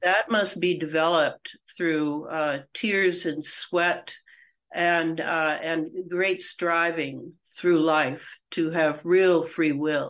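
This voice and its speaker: Against a quiet background, a woman speaks very slowly with fairly even intonation and a fairly low pitch. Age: 70s. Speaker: author and researcher. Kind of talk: podcast interview.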